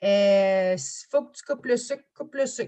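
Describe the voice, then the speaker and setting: In a Quebec accent, a woman speaks with ordinary pitch variation. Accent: Québécois French. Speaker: business coach. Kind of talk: interview. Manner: loud.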